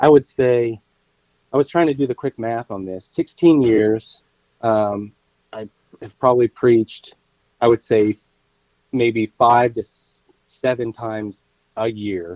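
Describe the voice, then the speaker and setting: A man's dark, mellow voice at a medium pitch with ordinary pitch variation, at a fairly slow pace with long, frequent pauses, dry and close with no echo. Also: big swings in loudness. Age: 40s. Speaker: lay preacher. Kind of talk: casual chat.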